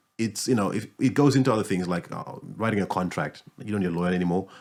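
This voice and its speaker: In a fairly low voice with ordinary pitch variation, a man talks at a very fast pace. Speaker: podcast host, music business owner. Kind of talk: podcast host conversation.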